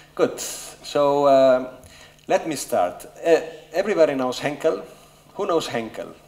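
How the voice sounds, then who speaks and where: Noticeable background noise and audible room echo accompany a man talking at a very slow pace. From Spain, Barcelona. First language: Spanish. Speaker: business executive. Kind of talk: conference talk. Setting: stage with audience. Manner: hesitant with fillers.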